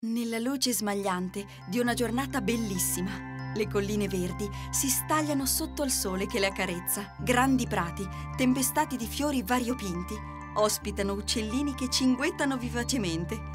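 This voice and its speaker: Music in the background behind a woman talking at a moderate pace. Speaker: voice actor. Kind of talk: children's fairy tale narration.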